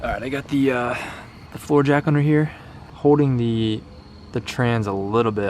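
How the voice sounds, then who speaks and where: A soft-spoken man talks at a moderate pace with ordinary pitch variation over noticeable background noise. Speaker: car DIY youtuber. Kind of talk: work vlog narration. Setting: garage at night.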